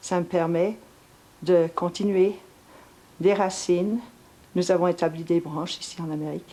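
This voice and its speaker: Her loudness swinging widely, a woman with a fairly low pitch speaks fairly slowly in a monotone, flat intonation, leaving long, frequent pauses. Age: 70s. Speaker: amateur genealogist. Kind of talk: interview in documentary report.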